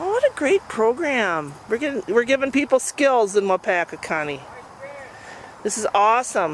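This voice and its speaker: Over noticeable background noise, a woman talks at a moderate pace. Her fairly high pitch makes very wide swings. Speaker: amateur videographer filming a community event. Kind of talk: casual video diary narration to a friend. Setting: outdoors.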